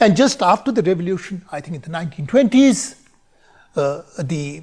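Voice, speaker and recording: A man with an Indian accent speaks at a high pitch. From India, Bareilly, Uttar Pradesh. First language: Hindi. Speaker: conference speaker. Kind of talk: recorded conference talk.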